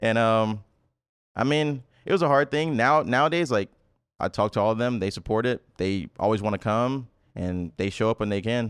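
A man with an American accent speaks at a moderate pace in an unremarkable speaking voice, his medium pitch showing ordinary variation, recorded dry and close with no echo against a quiet background. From US South, Memphis, Tennessee. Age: 20s. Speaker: esports pro player. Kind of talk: casual chat.

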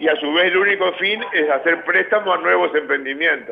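A man speaks with a Uruguayan accent at a moderate pace. His pitch is high, and there is noticeable background noise. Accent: Uruguayan Spanish (Rioplatense). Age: 60s. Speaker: prison director. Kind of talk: interview.

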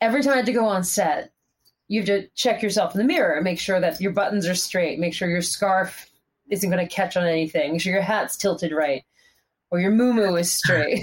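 Using a plain, everyday voice, a woman talks at a fairly quick pace with a medium pitch and ordinary pitch variation. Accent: American. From US Northeast, Pennsylvania. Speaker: fitness instructor and cyclist. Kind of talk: casual interview chat. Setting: video call.

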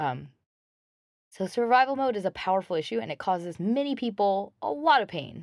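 A woman speaks at medium pitch and a fairly quick pace. Her pitch swings very widely. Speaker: podcast host. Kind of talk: self-help monologue. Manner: casual with many fillers.

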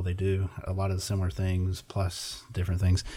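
At a very fast pace, a man delivers a monotone, flat line in a very deep, low voice that is somewhat breathy with a dark, mellow tone. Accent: American. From Indiana. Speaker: software sales director. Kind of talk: casual chat.

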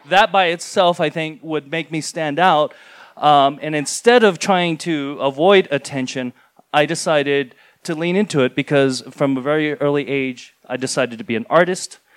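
A normal speaking voice from a man with an American accent, fairly high in pitch, at a moderate pace, with a dry, close sound and no echo. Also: ordinary pitch variation. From rural New Mexico. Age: 40s. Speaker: comic artist. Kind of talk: live storytelling. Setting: stage with audience.

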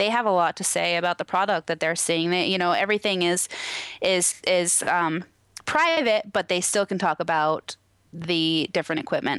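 A woman with an American accent speaks in an ordinary speaking voice, fairly low in pitch, at a moderate pace. Her pitch varies in an ordinary way and her loudness stays very even. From Washington State, US. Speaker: cannabis extraction lab manager. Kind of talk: interview.

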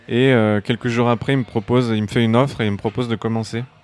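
A man with a plain, everyday voice talks fairly quickly at a medium pitch. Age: 30s. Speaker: concept artist. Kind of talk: interview. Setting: bar.

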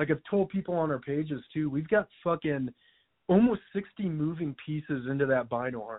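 Fairly high-pitched, this man has an ordinary speaking voice, lively intonation, and a fairly quick pace. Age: 20s. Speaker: hunting gear business owner, military veteran. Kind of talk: casual chat.

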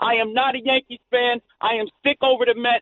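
At a moderate pace, a man talks with an extremely high pitch. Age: 40s. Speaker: caller. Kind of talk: casual call-in chat. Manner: animated.

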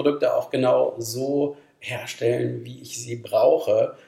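Here a man talks at a fairly slow pace. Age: 50s. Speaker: company managing director. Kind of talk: podcast interview.

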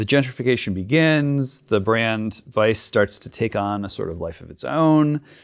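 In a normal speaking voice, a man with medium pitch talks at a fairly slow pace with lively intonation. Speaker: podcast host. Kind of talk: interview with scripted monologue intro. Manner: formal.

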